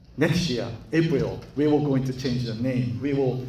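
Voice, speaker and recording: A somewhat breathy man with a Japanese accent, plus audible room echo. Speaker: school chief executive, guest lecturer. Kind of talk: lecture. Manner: halting.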